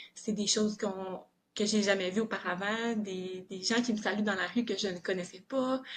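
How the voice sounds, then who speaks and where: A woman's monotone, flat delivery at a medium pitch and a moderate pace. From southern Quebec. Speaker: police officer. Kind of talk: podcast interview. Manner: hesitant, many filler words.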